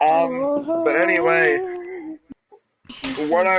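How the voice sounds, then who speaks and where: A man's voice with ordinary pitch variation. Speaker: gaming live streamer. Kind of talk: casual chat. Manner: stuttering when tired.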